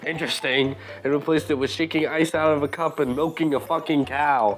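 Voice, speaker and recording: With music in the background, a man with a fairly high pitch talks at a moderate pace. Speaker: gaming commentator. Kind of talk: casual commentary rant. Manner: animated.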